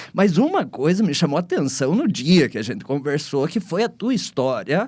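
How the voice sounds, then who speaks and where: Recorded very cleanly against a silent background, a man with a high pitch talks at a moderate pace with lively intonation. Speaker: podcast host, venture capital investor. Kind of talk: podcast interview.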